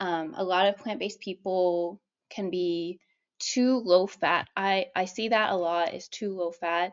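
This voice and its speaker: Her pace fairly slow, a woman speaks at medium pitch with ordinary pitch variation. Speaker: vegan weight loss coach and YouTuber. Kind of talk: casual talking-head advice video. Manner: animated, passionate.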